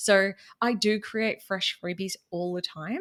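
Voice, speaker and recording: A woman talks with a Queensland accent. The recording is very clean, with a silent background. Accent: Queensland Australian. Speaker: business podcaster and money mentor. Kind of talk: casual interview chat.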